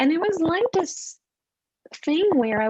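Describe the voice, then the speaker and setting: A woman with a Quebec accent speaks at a fairly slow pace, her pitch swinging very widely. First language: French. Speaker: animal communicator. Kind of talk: casual interview chat. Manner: halting.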